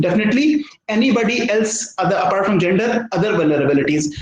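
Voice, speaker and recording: Talking at a very fast pace with lively intonation, a man is heard amid audible room echo. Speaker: professor. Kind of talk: lecture. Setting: video call.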